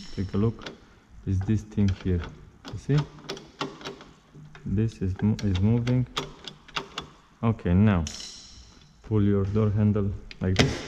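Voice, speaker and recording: Amid noticeable background noise, a man with a fairly low pitch and fairly even intonation speaks at a fairly slow pace with long, frequent pauses. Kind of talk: tutorial. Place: workshop. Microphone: phone near.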